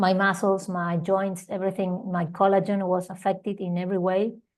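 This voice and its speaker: A woman speaks at medium pitch with an Argentine accent. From Argentina. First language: Spanish. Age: 40s. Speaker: holistic healing teacher. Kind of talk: interview testimony. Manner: halting, with repetitions.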